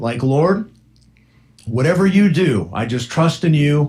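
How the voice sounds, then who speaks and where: The speaker is a man with a somewhat breathy voice. He talks at a moderate pace. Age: 60s. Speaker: radio host. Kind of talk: casual chat. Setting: studio.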